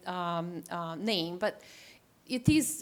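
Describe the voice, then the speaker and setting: A woman with an Italian accent speaks with very wide pitch swings. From Italy. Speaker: landscape architect. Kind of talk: presentation. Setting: town council meeting. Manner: halting, many fillers.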